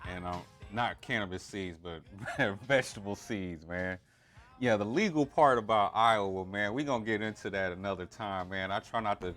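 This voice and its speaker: The speaker keeps a moderate pace and ordinary pitch variation. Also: man, fairly low pitch for a man. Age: 40s. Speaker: stream host. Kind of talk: casual chat. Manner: casual, halting with repeats.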